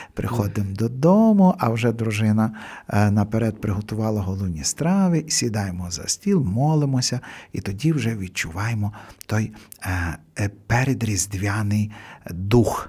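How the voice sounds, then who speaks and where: In a very clean recording with a silent background, a man speaks at a fairly slow pace with long, frequent pauses. His fairly low, dark, mellow voice is somewhat breathy, with lively intonation. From Hutsul region, western Ukraine (Kuty). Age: old. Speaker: priest. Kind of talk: radio interview. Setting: radio studio. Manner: halting with fillers.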